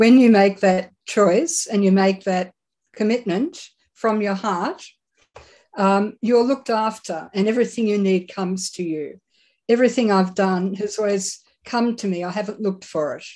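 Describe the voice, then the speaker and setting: A woman with an Australian accent speaks at medium pitch and a moderate pace in a dark, mellow tone with ordinary pitch variation, against a quiet background. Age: 70s. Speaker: psychic medium. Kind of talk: interview.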